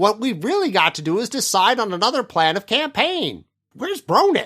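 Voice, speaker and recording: Using a put-on character voice, a man speaks high in pitch with very wide pitch swings at a moderate pace. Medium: read story. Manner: dry, matter-of-fact.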